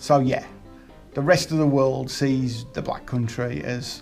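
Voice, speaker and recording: A woman speaks with music in the background. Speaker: presenter introducing a comedy segment.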